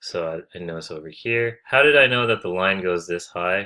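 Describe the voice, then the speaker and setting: Heard in a very clean recording with a silent background, the voice has a bright, sharp tone, a moderate pace and ordinary pitch variation. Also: man. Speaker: optometry tutor. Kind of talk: tutorial. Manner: casual, with fillers and self-corrections.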